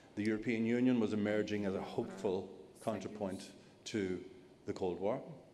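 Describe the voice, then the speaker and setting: A man with an Irish accent talks at a fairly quick pace, leaving long, frequent pauses. His intonation is monotone and flat, and audible room echo surrounds him. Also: fairly low pitch for a man. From Ireland. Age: 60s. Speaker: journalist. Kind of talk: panel discussion.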